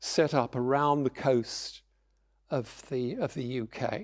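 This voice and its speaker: A man with a British accent speaks on a very clean recording with a silent background. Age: 70s. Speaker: lecturer. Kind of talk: public lecture.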